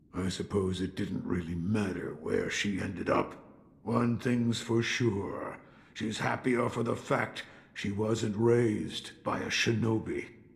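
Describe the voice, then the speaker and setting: Putting on a character voice, a man at medium pitch talks at a fairly slow pace in a weary tone with fairly even intonation. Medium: video game. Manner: gruff, weary, reflective.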